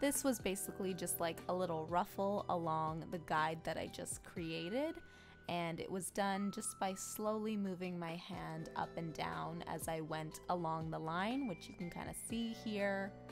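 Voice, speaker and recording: A woman speaks at a fairly slow pace while music plays in the background. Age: 20s. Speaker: cake decorator. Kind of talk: tutorial voiceover.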